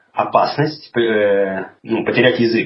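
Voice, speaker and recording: This is a man with a medium-pitched voice. He talks at a very slow pace. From Russia, Urals (Chelyabinsk). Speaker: podcaster living abroad. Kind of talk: casual interview conversation. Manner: hesitant, many fillers.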